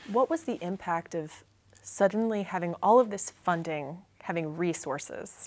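The pace of this woman's speech is moderate. Her pitch shows ordinary variation. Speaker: oral historian interviewer. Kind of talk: interview. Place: studio.

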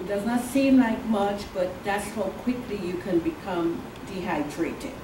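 A woman speaks at a moderate pace with medium pitch and ordinary pitch variation. Noticeable background noise is present. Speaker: oncology nurse. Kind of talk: educational talk with audience Q&A. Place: meeting room. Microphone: camera far.

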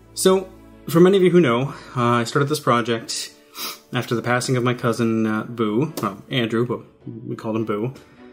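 Faint background music is present. Over it, a man speaks at a moderate pace. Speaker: hobby channel host. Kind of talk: casual vlog chat. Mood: relaxed, slightly reflective. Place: home room.

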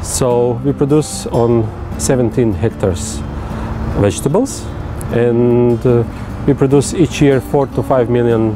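Music plays in the background of a dry recording with no echo, and the speech has long, frequent pauses. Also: man. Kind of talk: interview answer. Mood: calm, friendly. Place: street.

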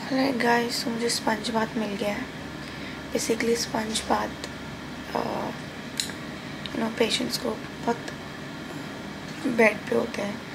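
A woman speaks at a fairly slow pace, her words set against noticeable background noise. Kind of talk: casual vlog chat. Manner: weak, drowsy post-surgery voice. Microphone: phone near.

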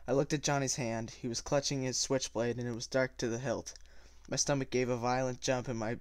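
In a natural reading voice, the speaker holds a fairly even intonation.

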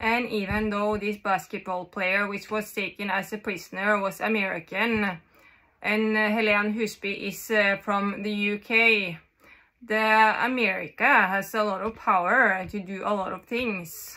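This woman has a Norwegian accent and a bright, sharp tone. She speaks at a fairly slow pace in a monotone, flat intonation against a quiet background. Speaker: vlogger. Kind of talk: monologue to camera. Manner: halting. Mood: agitated, intense. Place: home room. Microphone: phone near.

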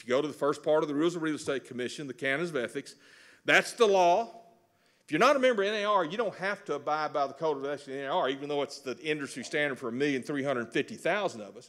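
A man with a Texan accent talks at a very fast pace, his intonation lively and his loudness swinging widely. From Texas. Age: 60s. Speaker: real estate instructor. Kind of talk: lecture. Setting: stage with audience. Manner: folksy. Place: hall. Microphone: podium.

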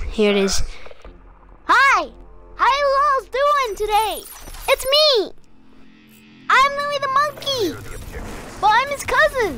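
An extremely high, put-on character voice at a very slow pace, broken by long, frequent pauses. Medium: role play. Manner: upbeat.

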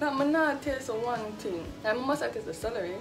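Over clear music in the background, a woman speaks with a Jamaican accent. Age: 20s. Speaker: vlogger. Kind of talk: casual talk to camera. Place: kitchen. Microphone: phone near.

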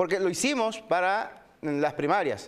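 Pitched high, a man talks at a fairly slow pace with lively intonation and a clear, smooth tone.

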